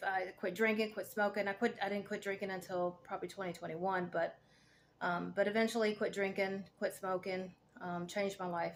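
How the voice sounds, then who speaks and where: Her Southern US accent carries a medium pitch and monotone, flat intonation. This woman keeps a moderate pace. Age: 40s. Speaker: cancer patient vlogger, veteran, fitness coach. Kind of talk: casual vlog monologue. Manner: hesitant, many fillers.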